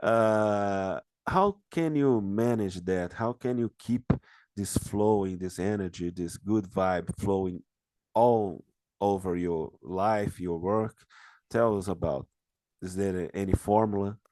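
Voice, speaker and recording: Fairly low male voice with a dark, mellow tone, very slow, with ordinary pitch variation against a quiet background. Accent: Brazilian. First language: Portuguese. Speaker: interviewer. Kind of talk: interview. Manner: halting.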